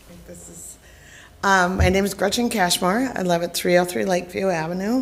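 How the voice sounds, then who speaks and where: A woman with a fairly low pitch, in a room with audible echo. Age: 60s. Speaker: resident addressing council. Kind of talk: public comment. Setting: council chamber.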